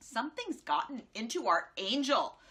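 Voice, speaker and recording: Using a put-on character voice, a woman sounds gruff at a high pitch. Her pitch swings very widely at a moderate pace. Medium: read story. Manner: tough.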